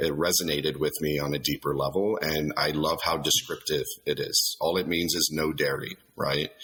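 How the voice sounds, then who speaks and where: A man with an American accent at a moderate pace, fairly even intonation, and noticeable background noise. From South Texas, Laredo. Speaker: company executive. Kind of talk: interview. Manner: hesitant, many repetitions.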